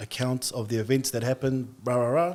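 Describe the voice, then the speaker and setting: A man with an Australian accent, medium pitch, fairly even intonation and a moderate pace. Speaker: barber and artist, podcast guest. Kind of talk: testimony.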